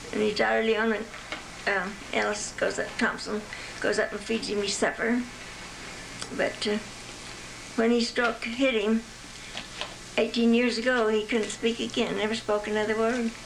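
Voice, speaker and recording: A woman's fairly high-pitched, monotone, flat voice at a moderate pace with long, frequent pauses, plus noticeable background noise and audible room echo. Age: 90s. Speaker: grandmother showing family photos. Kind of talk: casual reminiscing. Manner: halting.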